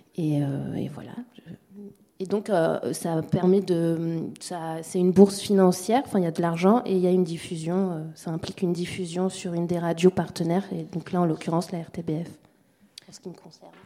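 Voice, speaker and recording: A woman with a fairly low pitch speaks with long, frequent pauses and big swings in loudness against noticeable background noise. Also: fairly even intonation, moderate pace. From Mayotte. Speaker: sound documentary maker. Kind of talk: round table discussion.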